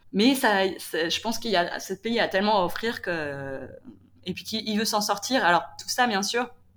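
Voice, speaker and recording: A woman at a medium pitch, speaking at a moderate pace. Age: 30s. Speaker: former office worker and solo traveller. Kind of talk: interview testimony. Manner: halting, many fillers.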